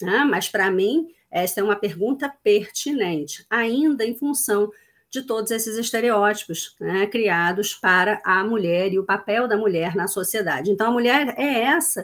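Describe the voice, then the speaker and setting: A woman talks at a fairly slow pace with lively intonation and a fairly high pitch. It is a plain, everyday voice on a very clean recording with a silent background. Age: 40s. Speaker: diversity and inclusion consultant. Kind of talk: casual interview.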